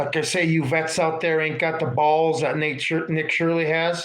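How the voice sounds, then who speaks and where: A fairly high-pitched man speaks at a moderate pace while noticeable background noise plays behind him. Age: 50s. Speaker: political livestream host. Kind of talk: casual livestream monologue with chat. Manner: animated.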